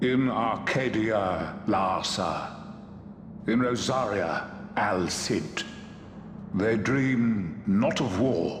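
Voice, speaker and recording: In a put-on character voice with a solemn tone, a man speaks at a very slow pace and medium pitch, with long, frequent pauses, slight echo and clear background noise. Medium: video game. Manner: solemn, measured.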